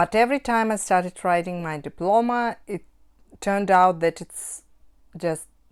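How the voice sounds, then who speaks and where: A woman speaks with a Russian accent at a fairly slow pace. Her pitch is medium, with ordinary pitch variation. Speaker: cross-stitch hobbyist vlogger. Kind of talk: casual vlog talk. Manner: halting, with self-corrections.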